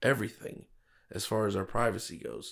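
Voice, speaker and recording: With an American accent, a man talks at a moderate pace in a medium pitch with ordinary variation and vocal fry. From South Florida, US. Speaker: police officer. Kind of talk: casual chat. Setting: studio.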